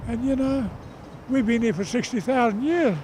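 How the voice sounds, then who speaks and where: Over noticeable background noise, a man with an extremely high pitch talks at a moderate pace with ordinary pitch variation. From Australia. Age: 70s. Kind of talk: protest interview. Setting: outdoors at a rally. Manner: animated.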